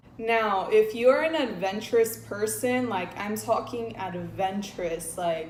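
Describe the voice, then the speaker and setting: Speaking at a fairly slow pace with hardly any pauses, a woman uses a medium pitch and ordinary pitch variation, with audible room echo and noticeable background noise. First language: Spanish. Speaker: travel and lifestyle vlogger. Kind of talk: casual vlog talk to camera.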